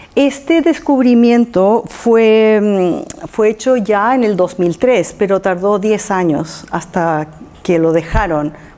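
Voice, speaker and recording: At a very slow pace and a very even loudness, this voice carries a non-native accent over noticeable background noise. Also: woman, medium pitch for a woman. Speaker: lecturer on archaeology mysteries. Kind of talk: public talk. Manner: halting, with fillers and repetitions.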